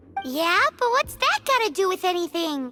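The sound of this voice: A cartoonish character voice, squeaky and extremely high-pitched, at a moderate pace with clear music in the background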